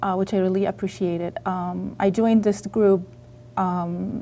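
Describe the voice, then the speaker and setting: A woman talks at a fairly slow pace with ordinary pitch variation. Her tone is dark and mellow. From Egypt. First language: Arabic. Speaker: author. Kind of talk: interview. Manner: halting.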